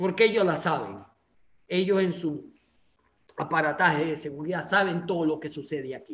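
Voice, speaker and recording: With a Venezuelan accent, a fairly high-pitched man talks with ordinary pitch variation and long, frequent pauses. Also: moderate pace. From Venezuela, Anzoátegui state. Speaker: political activist. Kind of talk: interview.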